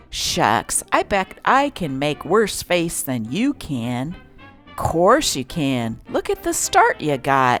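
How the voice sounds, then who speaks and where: Over music in the background, a woman with a fairly low pitch speaks at a very slow pace, her pitch swinging very widely. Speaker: newspaper reader. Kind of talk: comic strip reading.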